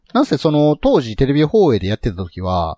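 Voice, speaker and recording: The man's voice is somewhat breathy and swings very widely in pitch. The sound is dry and close, with no echo. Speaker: podcast host. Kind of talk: casual chat.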